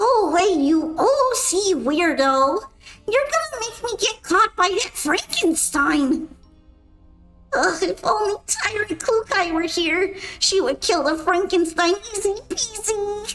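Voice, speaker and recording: Putting on a character voice at an extremely high pitch, a woman speaks fairly slowly with faint music in the background. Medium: virtual streamer. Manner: excitable, whiny.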